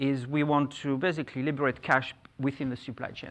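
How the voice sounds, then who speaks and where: A man at a moderate pace, with a fairly high pitch. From France. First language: French. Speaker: conference speaker, fintech executive. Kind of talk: conference presentation.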